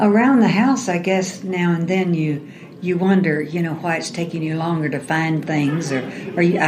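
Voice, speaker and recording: Moderate-paced speech with audible room echo and noticeable background noise. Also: woman. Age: 70s. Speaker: retiree with memory loss. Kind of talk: interview. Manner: halting.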